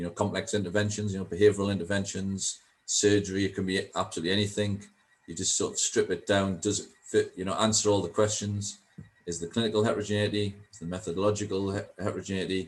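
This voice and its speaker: A man with a Geordie accent talks at a very fast pace in a fairly low, somewhat breathy voice. His intonation is monotone and flat. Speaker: statistician. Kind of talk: panel Q&A. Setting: video call. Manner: hesitant, many fillers.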